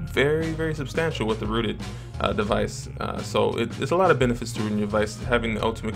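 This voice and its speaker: A man talks at a very fast pace while clear music plays in the background. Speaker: tech reviewer. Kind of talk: tutorial. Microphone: camera far.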